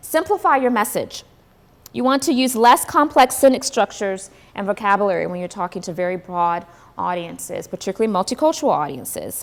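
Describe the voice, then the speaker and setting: A woman talks at a fairly quick pace with a fairly high pitch. Her pitch swings very widely. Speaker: diversity and inclusion executive, workshop speaker. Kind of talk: workshop talk. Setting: breakfast event with audience, live streamed. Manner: fast.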